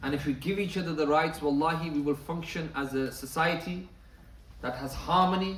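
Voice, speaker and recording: Amid noticeable background noise and audible room echo, a man with a fairly high pitch talks at a fairly quick pace with fairly even intonation. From northern England, Bradford. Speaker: Islamic lecturer. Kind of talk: lecture.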